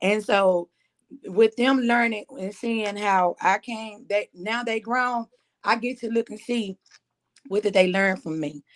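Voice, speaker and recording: A woman speaks slowly-ish, at a fairly slow pace, in a Southern accent. Her fairly high voice sounds dry and close, with no echo. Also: ordinary pitch variation. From Mississippi Delta. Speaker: musician. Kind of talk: interview.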